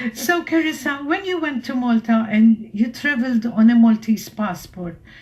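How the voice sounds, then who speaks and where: Her intonation is lively and her pitch fairly high. The woman speaks at a moderate pace. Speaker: radio host. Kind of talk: radio interview. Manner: loud.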